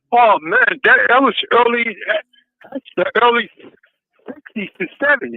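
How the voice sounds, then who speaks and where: Long pauses break up the speech frequently. The pace is fairly slow. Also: man. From Boston. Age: 60s. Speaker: reformed ex-offender. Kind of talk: interview. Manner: halting.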